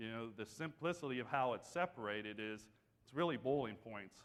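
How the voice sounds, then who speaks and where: A man with an Appalachian accent speaks at a moderate pace, his pitch sitting in the medium range. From West Virginia. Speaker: energy company business development director. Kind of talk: conference presentation. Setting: stage with audience.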